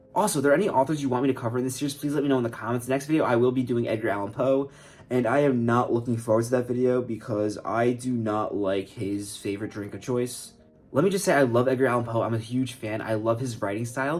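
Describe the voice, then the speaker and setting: With music in the background, a man talks at a very fast pace in a medium pitch with ordinary pitch variation. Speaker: writer and YouTuber. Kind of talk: casual vlog.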